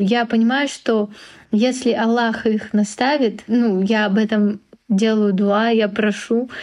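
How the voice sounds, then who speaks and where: A fairly high-pitched woman at a very slow pace, with fairly even intonation. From Russia. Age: 20s. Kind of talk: casual chat.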